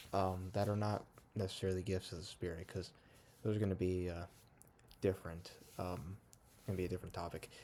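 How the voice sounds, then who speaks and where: Quiet and very deep in pitch, a man speaks very fast in a dark, mellow, monotone, flat voice broken by long, frequent pauses. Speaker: young church service missionary vlogger. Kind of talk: casual vlog monologue. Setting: at home at night. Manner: quiet, low volume; hesitant, many fillers.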